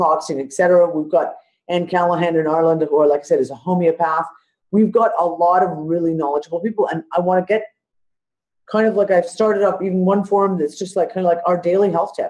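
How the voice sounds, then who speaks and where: Very fast speech in a Canadian accent against a quiet background. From Canada (Ontario). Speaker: podcast host. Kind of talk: casual chat.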